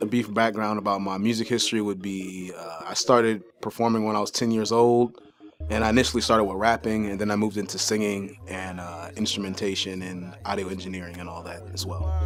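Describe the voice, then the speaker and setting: A man with a plain, everyday voice at fairly low pitch, fairly even intonation, big swings in loudness, and hardly any pauses. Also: fairly quick pace. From US Midwest, Columbus, Ohio. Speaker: musician. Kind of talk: interview.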